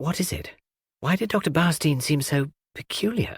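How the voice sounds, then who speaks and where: Using a put-on character voice, a man speaks at a moderate pace with a fairly high pitch, recorded with a dry, close sound and no echo. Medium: read story.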